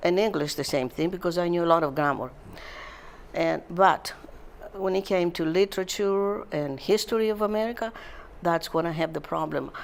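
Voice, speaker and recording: Speaking with a Greek accent, a woman with fairly low pitch keeps a moderate pace broken by long, frequent pauses. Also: ordinary pitch variation. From Greece. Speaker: retirement community resident. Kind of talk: interview. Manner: halting.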